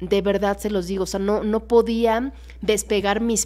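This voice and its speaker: Faint music plays in the background as a woman speaks with monotone, flat intonation. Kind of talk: casual Bible study livestream. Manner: fast. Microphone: studio mic.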